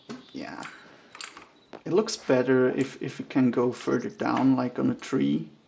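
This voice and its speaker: Spoken at a fairly slow pace in a relaxed tone, this voice carries a German accent over noticeable background noise. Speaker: gaming streamer. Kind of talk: casual gameplay commentary. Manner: relaxed, thinking aloud.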